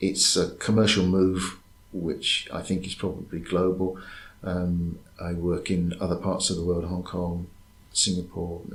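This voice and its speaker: With an English accent, a man speaks at a very deep, low pitch in a somewhat breathy voice with monotone, flat intonation, amid audible room echo. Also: fairly slow pace. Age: 60s. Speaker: university lecturer. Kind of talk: interview. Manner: hesitant.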